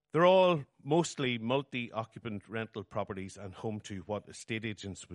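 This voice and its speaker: A man speaks with a Northern Irish accent at a fairly low pitch. His intonation is lively. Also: dry, close sound with no echo, quiet background. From Northern Ireland. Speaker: writer. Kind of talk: reading aloud. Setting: stage with audience.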